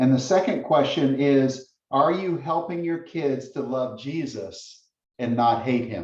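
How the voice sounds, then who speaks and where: This man speaks at a very slow pace. His pitch sits fairly high with ordinary variation. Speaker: guest speaker on parenting. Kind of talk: lecture. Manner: intense.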